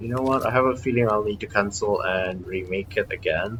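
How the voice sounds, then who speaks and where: Mumbling at a moderate pace, a man keeps a fairly low pitch and fairly even intonation. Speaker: gaming streamer. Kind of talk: gameplay commentary. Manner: hesitant, many fillers.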